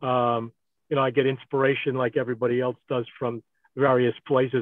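A man talks at a moderate pace. The sound is dry with no echo, over a quiet background. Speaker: radio host. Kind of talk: casual chat. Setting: video call. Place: car. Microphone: video call.

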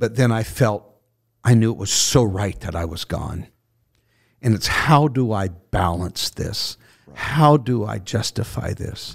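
Against a quiet background, a somewhat breathy man speaks at a fairly slow pace with ordinary pitch variation. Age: 60s. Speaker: bishop, retired pastor. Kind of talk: casual chat. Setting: studio. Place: studio. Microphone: studio mic.

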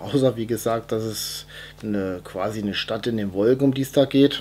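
A man keeps a moderate pace, and his pitch varies in an ordinary way. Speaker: film collector reviewing his collection. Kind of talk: casual vlog chat. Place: home room.

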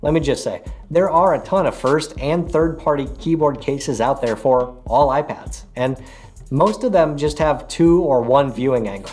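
A man talks at a moderate pace with ordinary pitch variation while faint music plays in the background. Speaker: tech reviewer. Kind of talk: product review talk to camera. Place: home room.

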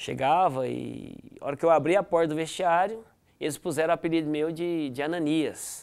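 A man's plain, everyday voice at a fairly high pitch, moderate pace and fairly even intonation, against a quiet background. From Goiás, Brazil (Goianésia); Goiás, Brazil. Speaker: former footballer; guest. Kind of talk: interview. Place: studio. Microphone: lapel.

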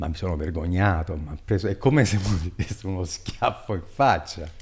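The pace of this man's speech is moderate. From Italy, Abruzzo. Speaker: economic development consultant; podcast guest. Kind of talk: long-form interview. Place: studio. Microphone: studio mic.

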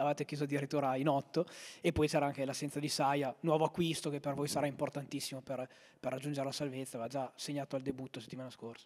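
Against a quiet background, a man talks very fast at a fairly high pitch. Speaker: sports commentator and interviewer. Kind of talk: live football commentary. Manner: fast, breathless play-by-play delivery; animated, rising on goals. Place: home room. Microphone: handheld.

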